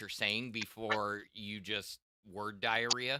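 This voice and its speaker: A man speaks very slowly in a bright, sharp tone, with a dry, close sound and no echo. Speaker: new tech podcast co-host. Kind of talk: casual chat.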